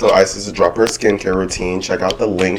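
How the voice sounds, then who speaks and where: Noticeable background noise sits under a man talking at a very fast pace, his very deep, low voice monotone and flat. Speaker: podcast host. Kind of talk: casual chat. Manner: casual, filler-heavy.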